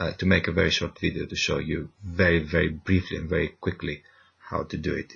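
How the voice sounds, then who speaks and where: A man speaks quietly at a very deep, low pitch. His moderate pace comes with monotone, flat intonation. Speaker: university lecturer. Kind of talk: tutorial. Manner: quiet, keeping voice down; hesitant, many fillers.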